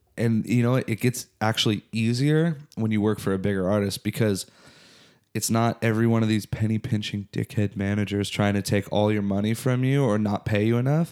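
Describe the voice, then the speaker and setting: A man with a Southern Californian accent speaks at a fairly quick pace in a fairly low pitch, with fairly even intonation and very even loudness, on a very clean recording with a silent background and a dry, close sound with no echo. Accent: Southern California American. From Southern California (Orange County). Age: 30s. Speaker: musician and former tour manager. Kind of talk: casual chat.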